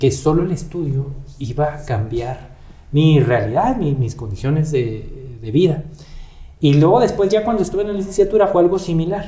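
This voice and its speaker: A man with a northern Mexican accent speaks at a fairly slow pace in a fairly high pitch, his intonation lively, with audible room echo. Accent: northern Mexican (Chihuahua). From Chihuahua, northern Mexico (Parral, Santa Bárbara). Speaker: judicial council member and candidate for supreme court justice. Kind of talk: interview.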